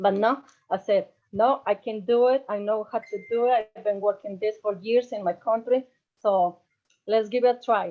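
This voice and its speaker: Speaking with a Spanish accent, a woman at a fairly high pitch keeps a moderate pace and fairly even intonation. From Mexico. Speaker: medical lab technician. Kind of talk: testimony. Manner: halting.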